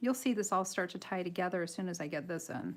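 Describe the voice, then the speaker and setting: This is a woman speaking with an American accent. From Michigan, US Midwest. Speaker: coloring artist and tutorial livestreamer. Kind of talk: live tutorial with chat. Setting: home livestream. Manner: giggly, laughs often.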